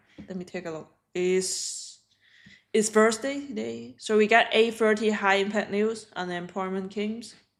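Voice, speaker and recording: In a Hong Kong accent, a woman speaks at a fairly slow pace with fairly even intonation and big swings in loudness. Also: medium pitch for a woman. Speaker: day trader streamer. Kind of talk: live trading stream chat. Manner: halting.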